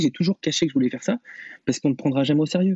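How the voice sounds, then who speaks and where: The speaker is a man with a fairly high pitch. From France, Vienne (near Poitiers). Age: 20s. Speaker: radio host. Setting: video call. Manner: halting, many fillers.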